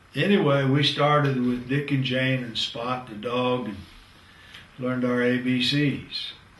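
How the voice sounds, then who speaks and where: A man talks at a fairly slow pace with medium pitch and fairly even intonation, though his loudness swings widely. Room echo is audible, along with noticeable background noise. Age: 70s. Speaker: professor. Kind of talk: lecture.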